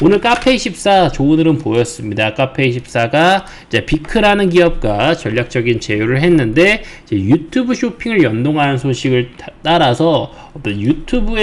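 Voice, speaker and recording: Noticeable background noise sits behind this man's voice. His pitch is fairly high, with very wide swings. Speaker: stock market commentator. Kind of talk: market commentary broadcast.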